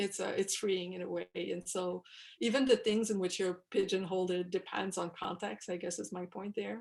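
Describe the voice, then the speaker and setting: A woman of medium pitch with a Quebec accent, vocal fry and fairly even intonation. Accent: French Quebec accent when speaking English. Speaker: newspaper columnist. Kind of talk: workshop talk to students over video call. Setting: video call. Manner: casual, many fillers and restarts.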